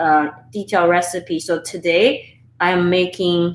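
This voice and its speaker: A woman with a Chinese accent. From Sichuan, China. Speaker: home cooking YouTuber. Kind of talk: live-stream cooking tutorial and chat. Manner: casual, halting with fillers.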